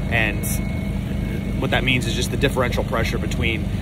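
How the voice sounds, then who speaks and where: Dry sound with no echo under loud background noise. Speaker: boat owner vlogger. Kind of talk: casual vlog chat. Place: boat. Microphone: phone near.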